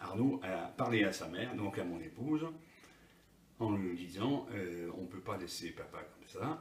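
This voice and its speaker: Speaking at a fairly slow pace, a man with a fairly low pitch uses lively intonation and big swings in loudness. Audible room echo and noticeable background noise surround him. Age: 60s. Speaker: patient giving testimony. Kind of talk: interview testimony. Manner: halting, many hesitations.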